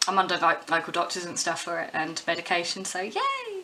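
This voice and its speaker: Over noticeable background noise, a woman speaks at medium pitch with a British accent. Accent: English (UK). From southern England, West Sussex. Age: 20s. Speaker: musician and pub worker. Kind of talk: casual vlog monologue.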